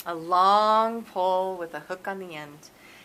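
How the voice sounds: What we hear is a natural reading voice.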